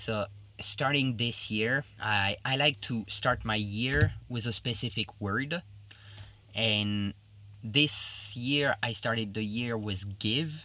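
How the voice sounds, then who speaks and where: A man with a French accent talks at a very slow pace, at a medium pitch and with ordinary pitch variation. His tone is bright and sharp, and the recording is very clean with a silent background. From Belgium, Liège (French-speaking). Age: 30s. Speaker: chef. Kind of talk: interview.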